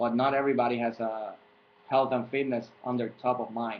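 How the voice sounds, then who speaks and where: Speaking at a moderate pace, a man with a Puerto Rican accent uses a medium pitch and a monotone, flat intonation. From Puerto Rico. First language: Spanish. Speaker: fitness coach. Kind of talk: tutorial. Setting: webcam recording. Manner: halting.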